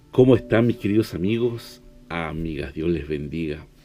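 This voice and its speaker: A man's very deep, low voice, dark and mellow, at a fairly slow pace. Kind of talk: devotional sermon.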